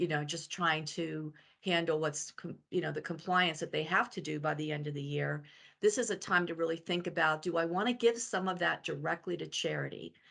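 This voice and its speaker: A fairly low-pitched woman's voice with vocal fry and ordinary pitch variation, fairly quick, over a quiet background. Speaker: financial advisor. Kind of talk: webinar presentation. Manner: fast.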